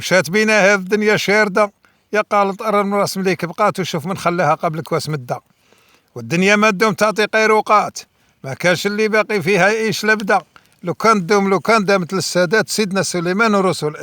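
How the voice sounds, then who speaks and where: A man speaks in a raised, projected voice with a high pitch and a bright, sharp tone. His pace is fairly quick, his pitch variation ordinary, and the sound dry and close with no echo. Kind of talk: poetry reading.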